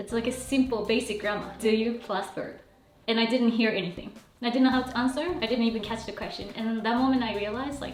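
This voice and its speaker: Over music in the background and audible room echo, a woman talks at a very fast pace with fairly even intonation. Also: fairly high pitch for a woman. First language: Japanese. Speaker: Japanese teacher. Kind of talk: casual chat.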